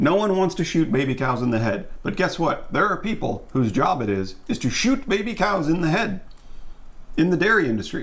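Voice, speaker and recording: A man's high-pitched voice at a fairly quick pace, with very wide pitch swings, very even loudness and audible room echo. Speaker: vegan YouTuber and voiceover artist. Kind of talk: casual chat. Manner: animated.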